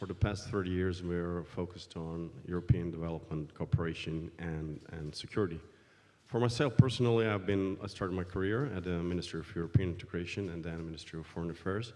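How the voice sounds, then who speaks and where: A man's very deep, low voice at a very fast pace, with ordinary pitch variation, big swings in loudness and audible room echo. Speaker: foreign policy researcher. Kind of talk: panel introduction. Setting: conference panel. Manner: hesitant, many fillers.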